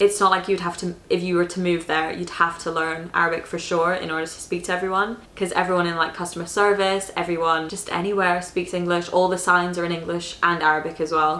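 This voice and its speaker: Delivered very fast with hardly any pauses, the speech has an American accent and flat, monotone intonation over noticeable background noise. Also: woman. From Dubai, UAE (expat). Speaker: YouTuber. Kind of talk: casual Q&A vlog.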